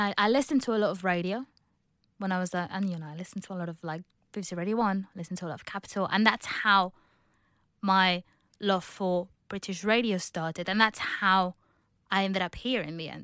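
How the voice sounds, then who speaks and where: A woman talks at a very fast pace with big swings in loudness, in a very clean recording with a silent background and a dry, close sound with no echo. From Spain, outskirts of Barcelona (Catalonia). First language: Spanish. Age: 20s. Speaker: office worker. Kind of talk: casual interview.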